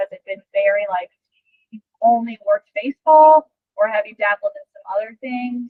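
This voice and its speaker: A woman's fairly high, energetic voice at a moderate pace, with ordinary pitch variation. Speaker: strength and conditioning coach. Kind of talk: podcast interview. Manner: loud, energetic.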